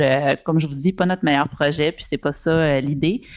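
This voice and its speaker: In a very clean recording with a silent background, a woman speaks with a very deep, low pitch and ordinary pitch variation. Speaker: panelist. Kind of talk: panel discussion. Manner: hesitant, many fillers.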